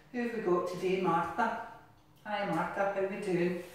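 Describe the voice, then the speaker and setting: A woman talks at a fairly slow pace. Strong room echo surrounds her voice. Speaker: exercise class instructor. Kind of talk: exercise class instruction. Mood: cheerful, encouraging, playful. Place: bathroom.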